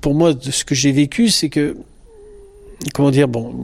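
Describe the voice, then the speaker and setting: Medium-pitched male speech, intonation fairly even. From France. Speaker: psychologist. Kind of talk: interview. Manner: halting.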